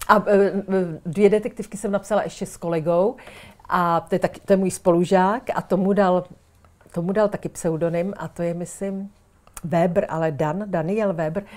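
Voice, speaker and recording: A woman uses a normal speaking voice, medium in pitch and moderate in pace, with fairly even intonation. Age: 60s. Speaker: writer and former teacher. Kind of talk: casual chat.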